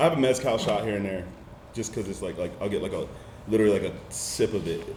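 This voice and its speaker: A man's fairly low voice with an American accent, very fast pace, and audible room echo. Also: ordinary pitch variation. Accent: slight country twang on certain words. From Southern California, then North Carolina from age 11. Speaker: DJ. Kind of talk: casual chat.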